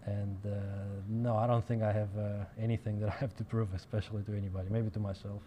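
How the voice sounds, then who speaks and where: Speaking at a fairly quick pace, a man with a Russian accent keeps his fairly low voice in a monotone, flat intonation. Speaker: professional pool player. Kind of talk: interview.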